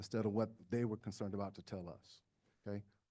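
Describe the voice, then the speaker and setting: In a very clean recording with a silent background, a man talks at a very fast pace in a dark, mellow tone. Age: 60s. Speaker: state party chair candidate. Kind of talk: candidate forum answers. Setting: community center hybrid meeting.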